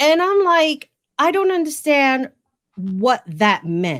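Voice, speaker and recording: A woman with a New York accent makes very wide pitch swings on a very clean recording with a silent background. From New York, the Bronx. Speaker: podcast host. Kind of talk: casual interview chat.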